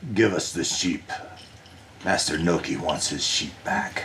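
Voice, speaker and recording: A man puts on a gruff character voice at a very deep, low pitch. Background noise is clearly audible. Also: fairly slow pace. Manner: demanding.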